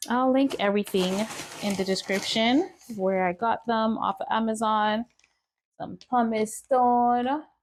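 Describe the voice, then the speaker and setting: A woman with an American accent talks at a fairly slow pace in a fairly high pitch. Hers is a normal speaking voice with ordinary pitch variation. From New York. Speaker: plant care youtuber. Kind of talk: tutorial.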